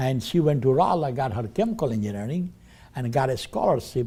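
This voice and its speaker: Somewhat breathy male voice, dark and mellow in tone. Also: very clean recording, silent background. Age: 80s+. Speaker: business owner. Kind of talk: testimony. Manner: halting.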